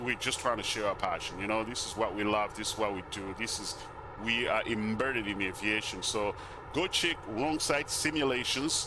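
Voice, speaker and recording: A man with a non-native accent speaks at a medium pitch over noticeable background noise. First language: not English. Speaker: flight sim YouTuber. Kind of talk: casual gameplay commentary. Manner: casual, halting with fillers.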